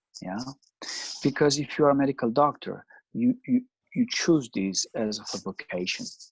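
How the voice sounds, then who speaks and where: In an Italian accent, a man with a fairly high pitch speaks at a moderate pace with lively intonation and long, frequent pauses, the sound dry and close with no echo. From Italy, Milan. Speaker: psychoanalyst. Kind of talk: interview.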